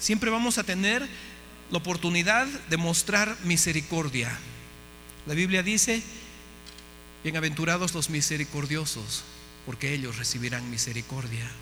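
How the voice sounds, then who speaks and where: A man's fairly high voice with very wide pitch swings, long, frequent pauses and audible room echo. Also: moderate pace. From Bolivia. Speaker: missionary speaker. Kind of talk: sermon.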